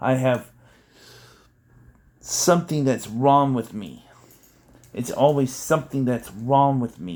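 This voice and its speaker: On a very clean recording with a silent background, a man with an American accent speaks at a very slow pace with long, frequent pauses. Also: medium pitch for a man, ordinary pitch variation, big swings in loudness. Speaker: political vlogger. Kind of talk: video manifesto monologue.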